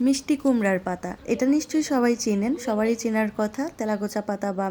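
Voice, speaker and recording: Female speech showing ordinary pitch variation. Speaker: home cooking YouTuber. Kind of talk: cooking tutorial voiceover.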